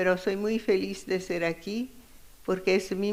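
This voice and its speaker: In a strong Italian accent, a woman speaks at a medium pitch, and audible room echo can be heard. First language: Italian (speaking Spanish). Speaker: feminist economist, keynote speaker. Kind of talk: conference keynote lecture. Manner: halting, searching for words.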